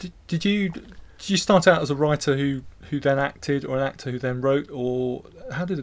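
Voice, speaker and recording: A man with a plain, everyday voice, fairly high in pitch, with ordinary pitch variation and a moderate pace. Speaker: audio drama producer. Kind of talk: interview. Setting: recording studio.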